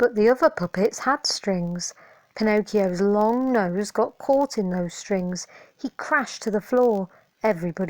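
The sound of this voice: Here is an unforced reading voice with ordinary pitch variation.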